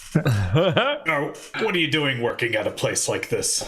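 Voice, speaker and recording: Using a put-on character voice, the man talks at a fairly slow pace. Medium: actual play. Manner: blustering, dramatic.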